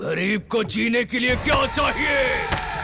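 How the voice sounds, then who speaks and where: A man does a put-on character voice while clear background noise and sound effects play behind him. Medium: fan dub. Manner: arrogant, domineering.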